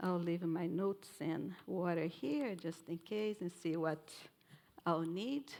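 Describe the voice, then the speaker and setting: A woman speaks very slowly at a fairly low pitch, with ordinary pitch variation and very even loudness. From Brazil. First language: Portuguese. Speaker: professor of nutrition, keynote speaker. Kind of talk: keynote lecture.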